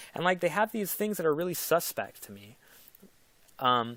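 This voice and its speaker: Silence fills the background of a very clean recording. The speaker's intonation is lively. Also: man. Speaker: crypto investment YouTuber. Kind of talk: casual video commentary. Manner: fast; hesitant, many fillers.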